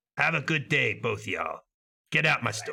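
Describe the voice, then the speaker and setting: A man puts on a character voice, raspy and delivered at a moderate pace. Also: fairly high pitch for a man. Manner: gruff, dismissive shopkeeper.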